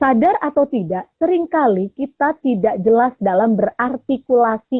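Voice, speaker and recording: A woman speaks at a moderate pace and a high pitch. Her intonation is lively. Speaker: voice coach. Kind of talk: radio talk show interview. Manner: loud, energetic.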